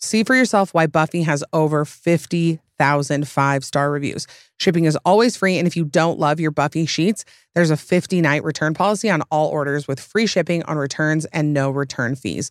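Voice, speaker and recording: With a Utah accent, a woman speaks at a moderate pace in a very deep, low voice with an animated tone and ordinary pitch variation, in a dry, close sound with no echo. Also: very clean recording, silent background. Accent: Utah accent, American West. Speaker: podcast host. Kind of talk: casual chat.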